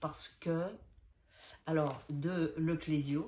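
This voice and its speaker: Very slow and very deep, low in pitch, a woman speaks with a dark, mellow tone and ordinary pitch variation. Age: 60s. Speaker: actress and dancer auditioning. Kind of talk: audition self-presentation and reading aloud. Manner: hesitant.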